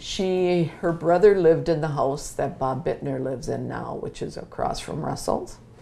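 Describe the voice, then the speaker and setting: A woman talks at a moderate pace with hardly any pauses. Her loudness swings widely, and the room echo is audible. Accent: Upper Midwest. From Wisconsin (Mount Calvary). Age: 70s. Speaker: interviewee. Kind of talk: oral history interview.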